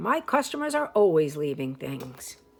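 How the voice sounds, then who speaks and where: A woman puts on a character voice. It is pitched very deep and low, delivered at a moderate pace. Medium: read story. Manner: brisk, friendly.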